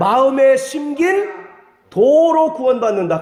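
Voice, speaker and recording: An extremely high-pitched man speaks with audible room echo and noticeable background noise. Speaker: pastor. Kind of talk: sermon.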